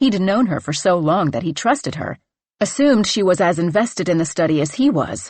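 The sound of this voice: The background stays quiet. An unforced reading voice carries lively intonation.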